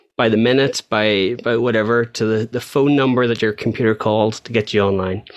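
Against a quiet background, a man of medium pitch talks at a fairly quick pace with fairly even intonation. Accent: Northern Irish. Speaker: podcast co-host. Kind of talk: casual chat. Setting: video call.

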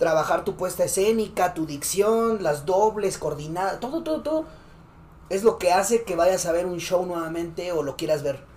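Amid noticeable background noise, a man with a Mexican accent talks at a moderate pace and a high pitch. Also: ordinary pitch variation. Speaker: streamer reacting to freestyle rap videos. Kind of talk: casual chat.

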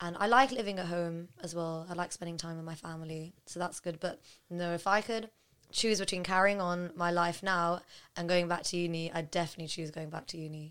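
A woman with a plain, everyday voice speaks at a fairly quick pace with fairly low pitch and fairly even intonation, in a very clean recording with a silent background. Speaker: podcast guest. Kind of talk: casual chat. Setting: studio.

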